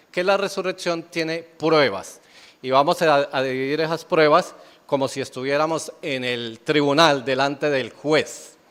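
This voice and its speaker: An ordinary speaking voice from a man, fairly high in pitch, with ordinary pitch variation and a fairly slow pace, on a very clean recording with a silent background. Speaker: pastor. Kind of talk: sermon.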